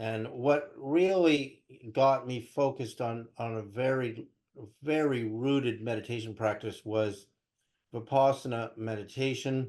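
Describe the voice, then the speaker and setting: At a fairly slow pace, a man with a medium pitch and ordinary pitch variation speaks in a plain, everyday voice. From California (Berkeley), born in Canada. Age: 60s. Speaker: spiritual researcher and interview guest. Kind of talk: interview, personal storytelling.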